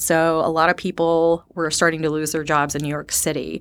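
In a very clean recording with a silent background, a woman with an American accent uses an ordinary speaking voice at a fairly low pitch and a moderate pace. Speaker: sales development representative. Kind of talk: interview.

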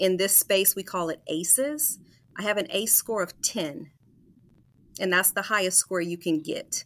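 With an American accent, a woman speaks in a normal speaking voice of medium pitch at a moderate pace with ordinary pitch variation, on a very clean recording with a silent background. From Des Moines, Iowa. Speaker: author and mental health advocate. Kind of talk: interview.

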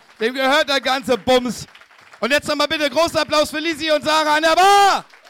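Over crowd noise in the background, a man projects a raised voice at an extremely high pitch for a man, with ordinary pitch variation, a fairly quick pace and a dry, close sound with no echo. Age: 30s. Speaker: comedian. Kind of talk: show closing announcement; live show chat. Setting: stage with audience.

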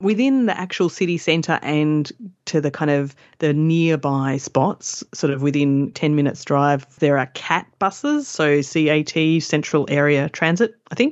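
A woman speaks with a very deep, low pitch in an Australian accent. Her pitch varies in an ordinary way. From Perth, Western Australia. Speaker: travel blogger. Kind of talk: casual interview.

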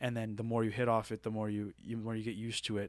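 A man with a Maritime Canadian accent speaks at a fairly quick pace in a fairly low pitch, his intonation flat and monotone. The recording is very clean, with a silent background. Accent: Maritime Canadian, noticeable. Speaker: college baseball player. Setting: studio.

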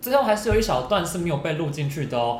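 A man talks with lively intonation. Noticeable background noise and audible room echo come through. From Taiwan, Hsinchu. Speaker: podcast co-host. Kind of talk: casual chat.

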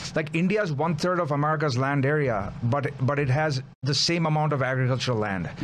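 This man has an unremarkable speaking voice with a fairly high pitch and ordinary pitch variation. He talks at a fairly quick pace with very even loudness. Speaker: commentator on India-US relations. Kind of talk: political talk show interview. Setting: studio.

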